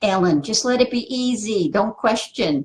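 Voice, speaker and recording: At a fairly slow pace, a woman speaks with a somewhat breathy voice and lively intonation. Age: 60s. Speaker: spiritual teacher. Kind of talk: live stream talk answering viewer comments. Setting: Facebook live video. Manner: casual, filler-heavy.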